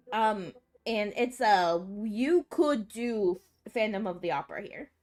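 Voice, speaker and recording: Fairly high-pitched, a woman speaks at a fairly slow pace with lively intonation and big swings in loudness. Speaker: vtuber streamer. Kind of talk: casual chat. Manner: animated.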